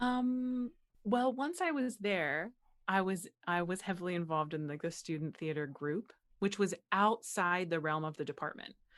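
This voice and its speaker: A woman's normal speaking voice with an American accent, medium in pitch, with lively intonation at a moderate pace, on a very clean recording with a silent background. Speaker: actress, playwright, voice over artist. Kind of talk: interview answer. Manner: casual, conversational.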